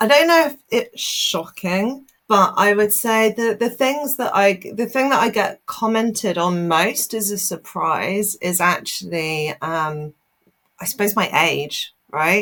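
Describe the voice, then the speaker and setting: At a very slow pace, a woman speaks in a medium pitch with lively intonation. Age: 30s. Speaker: telecom industry executive. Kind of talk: interview. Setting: podcast.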